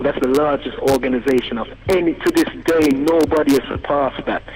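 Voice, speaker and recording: A man speaks at a fairly quick pace with fairly even intonation. Noticeable background noise is present. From England. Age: young. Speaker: caller. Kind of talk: phone-in talk radio discussion. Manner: fast.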